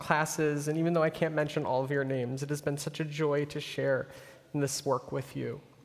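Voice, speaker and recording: A man with an American accent, fairly high-pitched and flat in a monotone, at a fairly quick pace. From US Midwest. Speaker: rabbi. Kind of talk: farewell speech. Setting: synagogue sanctuary with congregation.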